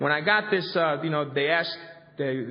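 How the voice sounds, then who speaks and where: With a Spanish accent, a man speaks at a fairly high pitch and moderate pace amid audible room echo. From Colombia. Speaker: recovery convention speaker. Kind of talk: recovery workshop talk. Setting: convention hall with audience. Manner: halting, many fillers and repetitions.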